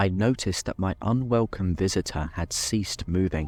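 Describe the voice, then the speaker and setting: This man talks at a moderate pace in a fairly low pitch. Music plays in the background, and the sound is dry and close with no echo. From Britain. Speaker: horror story narrator. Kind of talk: horror story reading, bedtime / ASMR style.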